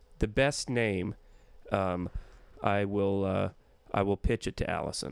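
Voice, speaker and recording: At a fairly slow pace, the speaker talks with ordinary pitch variation. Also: man, fairly low pitch for a man. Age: 40s. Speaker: comedian. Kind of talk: casual monologue. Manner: rambling, halting.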